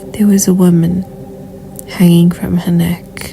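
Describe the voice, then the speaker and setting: A woman at a medium pitch, monotone and flat, at a fairly slow pace against noticeable background noise. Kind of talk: horror story narration read to camera.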